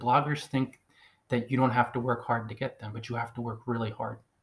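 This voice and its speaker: With an American accent, a man talks at a very fast pace in a somewhat breathy voice of medium pitch. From US, New Jersey. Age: 40s. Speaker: blogging coach, podcaster. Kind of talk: solo monologue, advice podcast. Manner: emphatic, repetitive.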